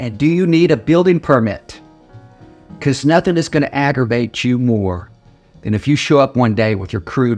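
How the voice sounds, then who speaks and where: A man with an American accent at medium pitch, moderate pace and lively intonation, with music in the background. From Oklahoma, USA. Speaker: attorney. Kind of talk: casual informational talk to camera.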